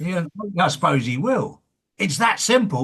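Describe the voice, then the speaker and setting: A man speaks with an English accent. His pitch swings very widely. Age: 60s. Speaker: interviewer, former builder. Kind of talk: casual interview chat.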